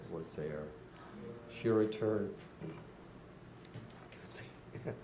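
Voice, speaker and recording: A man speaks very slowly in a fairly low pitch. Audible echo fills the room. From Czechoslovakia, Prague. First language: Czech. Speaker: Holocaust survivor. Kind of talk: testimony.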